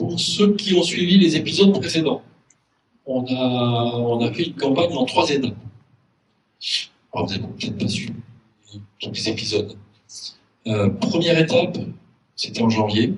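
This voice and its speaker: A medium-pitched man at a moderate pace, with long, frequent pauses, very wide pitch swings and audible room echo. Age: 60s. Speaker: local election candidate. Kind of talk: public meeting speech. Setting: community hall with audience. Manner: hesitant, frequent fillers.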